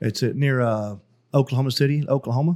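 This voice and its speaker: In a Texan accent, a man speaks at a medium pitch and moderate pace on a very clean recording with a silent background. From East Texas. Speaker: cigar sales rep, Air Force veteran. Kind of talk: casual chat.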